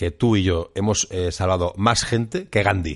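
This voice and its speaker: A man speaks with a very deep, low pitch. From Catalonia, Spain. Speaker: podcast co-host. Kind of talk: casual chat.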